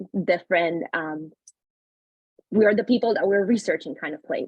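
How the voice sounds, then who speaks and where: With a Spanish accent, a woman at medium pitch speaks at a moderate pace, her intonation lively and her loudness swinging widely. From Panama. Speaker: panelist, early career researcher. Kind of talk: webinar panel introduction.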